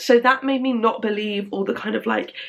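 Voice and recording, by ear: Speaking at a fairly quick pace, a woman uses fairly even intonation with vocal fry.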